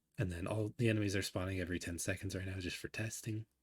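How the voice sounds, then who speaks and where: On a very clean recording with a silent background, a man with a fairly low, somewhat breathy voice speaks with ordinary pitch variation. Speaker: indie game developer. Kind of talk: casual devlog talk to camera.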